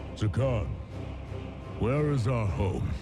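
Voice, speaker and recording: Over loud background noise, a man does a put-on character voice at a medium pitch. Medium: video game. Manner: grave, gruff.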